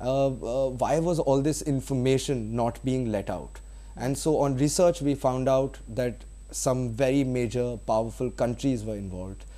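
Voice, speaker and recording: Here a man speaks with a Bengali accent. His pace is moderate. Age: young. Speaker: film director. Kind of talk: interview. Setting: studio. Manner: hesitant, many fillers.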